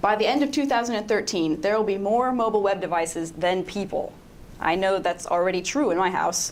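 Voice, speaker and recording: A woman at a medium pitch with ordinary pitch variation, fairly quick pace and very even loudness, plus audible room echo. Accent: American. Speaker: web designer. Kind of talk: conference talk. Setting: stage with audience. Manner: fast.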